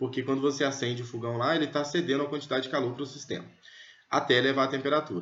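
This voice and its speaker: Talking at a very fast pace, a man with a fairly high pitch keeps his intonation fairly even amid audible room echo. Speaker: physics teacher. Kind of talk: lecture.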